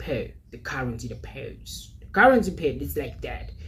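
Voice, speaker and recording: A man speaks with audible room echo. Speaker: forex trading youtuber. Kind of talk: tutorial.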